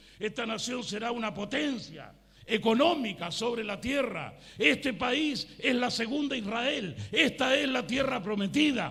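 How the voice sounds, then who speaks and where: Extremely high-pitched and animated, a man speaks at a fairly slow pace with ordinary pitch variation. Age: 60s. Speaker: pastor. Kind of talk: sermon.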